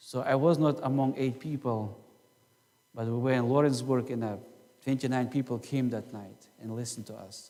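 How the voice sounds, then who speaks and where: A man talks at a moderate pace and medium pitch, in a dark, mellow tone. His intonation is fairly even, though his loudness swings a lot. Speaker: pastor. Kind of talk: sermon. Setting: church.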